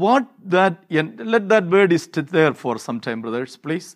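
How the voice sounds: In a very clean recording with a silent background, a man's high voice makes very wide pitch swings. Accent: Indian.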